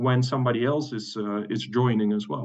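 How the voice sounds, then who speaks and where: Speaking with a Dutch accent, a man keeps a moderate pace. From Netherlands. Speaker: webinar host. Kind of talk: webinar presentation. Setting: online webinar. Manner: halting, many fillers and repetitions.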